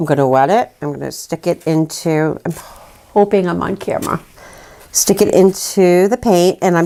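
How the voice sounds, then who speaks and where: A woman with a normal speaking voice and fairly low pitch talks at a moderate pace. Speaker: folk art painting teacher. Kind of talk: painting tutorial. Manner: casual, chatty.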